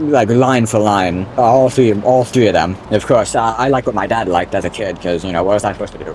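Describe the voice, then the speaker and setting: A man talks at a very fast pace with hardly any pauses. Noticeable background noise runs behind him. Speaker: gaming YouTuber. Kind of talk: gameplay commentary. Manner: casual, rambling with fillers; sudden loud exclamations.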